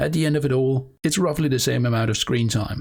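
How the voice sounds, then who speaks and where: In a very clean recording with a silent background, this man sounds somewhat breathy. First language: not English. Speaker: lore YouTuber. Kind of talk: video monologue about a planned series.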